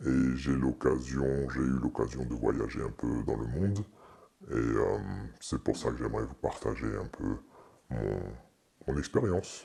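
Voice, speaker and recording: Using long, frequent pauses at a fairly slow pace, a man speaks with a very deep, low pitch and ordinary pitch variation. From eastern France. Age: 40s. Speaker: pastor. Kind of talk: testimony. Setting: studio. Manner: halting.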